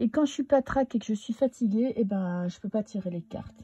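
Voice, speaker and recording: A woman's lively intonation at a moderate pace, dry and close with no echo, over noticeable background noise. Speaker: tarot card reader. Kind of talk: casual monologue. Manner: hesitant, many filler sounds.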